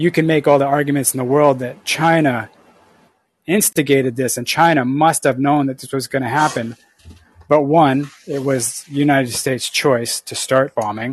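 A man speaks in a plain, everyday voice with fairly high pitch and fairly even intonation. His loudness swings a lot, and the pace is moderate. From Canada. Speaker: caller. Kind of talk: call-in debate. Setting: call via app.

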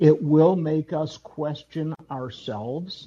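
With an American accent, a man speaks in a somewhat breathy, dark, mellow tone at a fairly high pitch with ordinary pitch variation. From US Midwest, Wisconsin (Madison). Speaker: caller. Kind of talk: group discussion. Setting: live audio app call-in.

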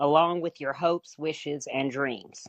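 A moderate pace against a quiet background. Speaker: industrial psychologist. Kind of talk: casual chat. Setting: live call-in.

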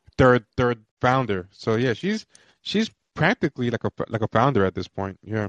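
The sound is dry and close with no echo as a man talks with lively intonation at medium pitch. He has a plain, everyday voice. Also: moderate pace. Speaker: podcast host. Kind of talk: casual chat. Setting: live call-in show.

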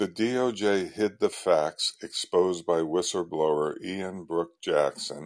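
A man speaks in a calm tone at a fairly slow pace. The background is quiet. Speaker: caller. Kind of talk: call-in conversation.

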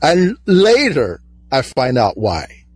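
The speaker has a Chinese accent and very wide pitch swings. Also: man. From China. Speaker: caller, hospital employee. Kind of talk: call-in debate.

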